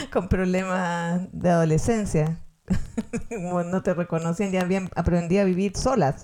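Her tone dark and mellow, a woman with a Chilean accent speaks at a fairly slow pace. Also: fairly low pitch for a woman, fairly even intonation. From Chile, Valparaíso. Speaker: podcast co-host. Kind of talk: casual chat.

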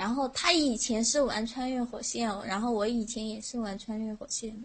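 A woman speaks at a moderate pace and a fairly high pitch, with fairly even intonation. Her loudness swings widely and she hardly pauses. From Sichuan. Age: 20s. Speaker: teacher, caller. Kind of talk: casual chat.

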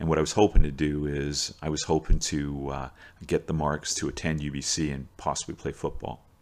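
A man with a Canadian accent speaks at a very fast pace in a very deep, low pitch with vocal fry. The recording is very clean, with a silent background. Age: 60s. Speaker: teacher and coach. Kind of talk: storytelling monologue. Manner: casual, with frequent fillers and repetitions.

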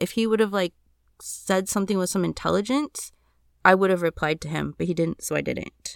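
A woman speaks at a fairly quick pace, the sound dry and close with no echo, in a very clean recording with a silent background. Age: 40s. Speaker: podcast host. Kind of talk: casual monologue answering listener questions.

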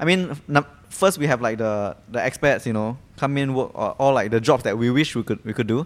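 A man speaks at a fairly quick pace with a Singaporean accent. His pitch is medium. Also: ordinary pitch variation. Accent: Singaporean English (Singlish particles). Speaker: podcast co-host. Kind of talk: casual chat.

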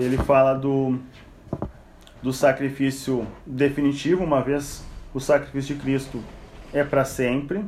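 A man with a fairly high pitch speaks at a fairly slow pace in a monotone, flat intonation, with long, frequent pauses and audible room echo. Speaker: Bible study teacher. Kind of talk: Bible study lecture. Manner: conversational.

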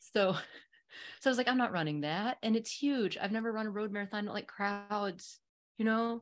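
A woman with an unremarkable speaking voice talks at a moderate pace, her pitch fairly high with ordinary variation. The recording is very clean and the background silent. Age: 50s. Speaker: ultrarunner. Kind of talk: casual chat.

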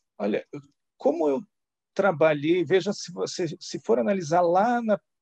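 A man's voice with lively intonation, dry and close with no echo. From Santa Catarina, southern Brazil. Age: 40s. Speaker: former finance executive. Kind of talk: interview.

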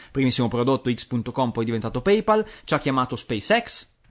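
A man's voice with very wide pitch swings at a moderate pace, against a quiet background. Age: 30s. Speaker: podcast co-host. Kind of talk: casual chat. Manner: animated.

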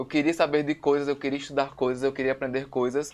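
Against a quiet background, a man speaks at a very fast pace. His pitch is fairly high and his intonation monotone and flat. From Natal, northeastern Brazil. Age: 20s. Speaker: photographer and visual artist. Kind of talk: casual chat.

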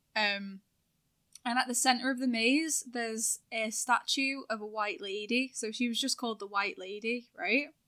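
A woman with a bright, sharp tone speaks in a fairly high pitch at a moderate pace with ordinary pitch variation, on a very clean recording with a silent background. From northern England, between Manchester and Liverpool. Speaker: streamer. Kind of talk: casual chat.

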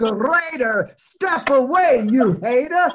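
A man speaks at an extremely high pitch with an American accent. His pace is very slow. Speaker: DJ and record shop owner. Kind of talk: storytelling interview. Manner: rhyming intro.

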